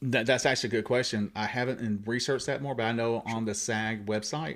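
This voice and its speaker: A man with a Southern accent at a very fast pace, with fairly even intonation. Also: medium pitch for a man. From US South, Columbus Georgia. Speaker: actor and radio host. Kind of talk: casual chat.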